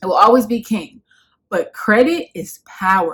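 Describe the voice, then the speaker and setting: The voice has a New York accent. The background is quiet. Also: woman. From Bronx, New York. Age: 20s. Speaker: lifestyle YouTuber. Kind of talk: casual talk to camera. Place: home room. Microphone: phone near.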